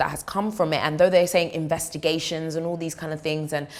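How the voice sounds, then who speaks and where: A woman talks in an animated tone with a fairly low pitch. Noticeable background noise is present. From East London, England. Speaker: news anchor. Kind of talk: reading and reacting to viewer comments.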